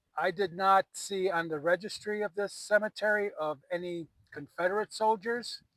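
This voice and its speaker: A man with an American accent, high-pitched for a man, with ordinary pitch variation at a moderate pace in a dry, close sound with no echo. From US Midwest. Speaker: paranormal investigator. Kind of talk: on-location investigation vlog, calling out to spirits. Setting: outdoors in a cemetery at night.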